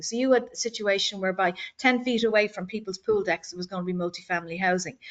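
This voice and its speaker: A woman talking at a very fast pace with an Irish accent. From Ireland, Dublin. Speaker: board candidate. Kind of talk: candidate speech at community meeting. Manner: halting, repeats words.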